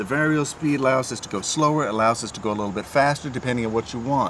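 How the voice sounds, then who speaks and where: Noticeable background noise sits under very fast speech with ordinary pitch variation. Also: man. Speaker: renovation contractor reviewing tools. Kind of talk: product review tutorial. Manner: casual, with fillers.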